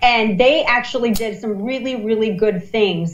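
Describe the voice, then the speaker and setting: A woman's fairly quick speech with ordinary pitch variation and audible room echo. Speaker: political commentator. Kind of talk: live election commentary. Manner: fast; animated.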